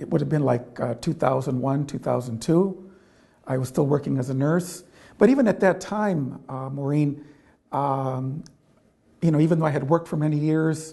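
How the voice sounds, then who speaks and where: A man's somewhat breathy, fairly high voice with a dark, mellow tone, an Upper Midwest accent, moderate pace and ordinary pitch variation. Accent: Upper Midwest American. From Michigan, US Midwest. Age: 60s. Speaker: Jesuit priest and nurse. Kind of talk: interview. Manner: halting, many fillers.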